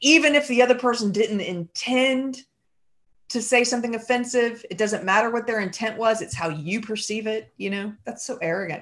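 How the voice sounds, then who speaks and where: Using a normal speaking voice, this female speaker keeps a medium tempo, sitting fairly high in pitch for a woman, with ordinary pitch variation. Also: quiet background. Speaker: podcaster and writer. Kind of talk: casual interview conversation.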